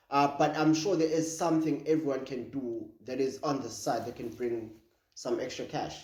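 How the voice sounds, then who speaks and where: Audible room echo around a fairly high male voice, moderate in pace, with ordinary pitch variation. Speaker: podcast co-host. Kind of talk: casual chat. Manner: halting.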